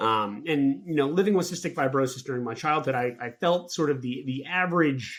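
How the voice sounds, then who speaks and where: Fairly quick speech with hardly any pauses and ordinary pitch variation, in a very clean recording with a silent background. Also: man, fairly high pitch for a man. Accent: American. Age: 30s. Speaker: patient advocate. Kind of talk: prepared talk. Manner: halting, many fillers.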